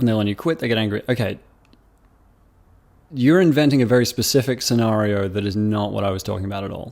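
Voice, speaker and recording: A man with an Australian accent speaks at a very fast pace with long, frequent pauses. His fairly low voice shows ordinary pitch variation on a very clean recording with a silent background. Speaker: YouTuber. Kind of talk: casual commentary reading comments. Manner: hesitant, many fillers.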